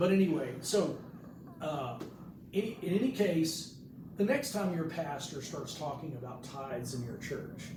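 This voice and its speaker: There is audible room echo and noticeable background noise as a man talks at a moderate pace with ordinary pitch variation. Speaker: pastor. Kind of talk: sermon. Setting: hospital room, live stream. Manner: loud.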